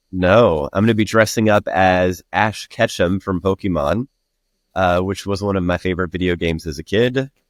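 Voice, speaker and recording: Speaking with an American accent at a moderate pace, a man uses a very deep, low pitch with ordinary pitch variation, recorded with a dry, close sound and no echo. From Alabama, US South. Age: 30s. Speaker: podcast guest, bartender and life coach. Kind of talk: casual interview chat. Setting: remote recording platform.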